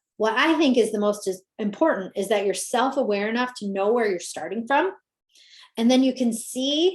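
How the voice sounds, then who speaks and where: A woman speaks with a fairly high pitch and lively intonation. Her tone is animated. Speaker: business coach. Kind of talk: webinar presentation. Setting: live video call. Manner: fast.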